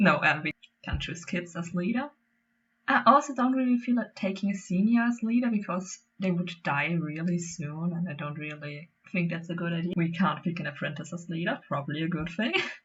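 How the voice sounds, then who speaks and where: The pace is fairly quick, with a non-native accent. The intonation is lively. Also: woman. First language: not English. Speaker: gaming YouTuber. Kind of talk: casual gameplay commentary. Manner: halting.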